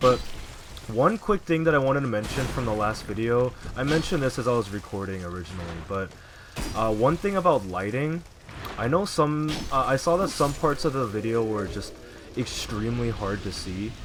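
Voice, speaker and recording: A soft-spoken man talks fairly quickly at medium pitch, with lively intonation. He leaves long, frequent pauses over noticeable background noise. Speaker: gaming YouTuber. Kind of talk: gameplay commentary. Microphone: audio balance was poor, voice hard to hear.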